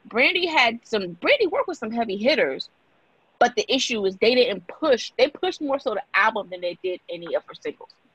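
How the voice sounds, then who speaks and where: A woman's high voice at a fairly quick pace, with very wide pitch swings and big swings in loudness. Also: dry, close sound with no echo. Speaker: guest, mom and store owner. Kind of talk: casual chat.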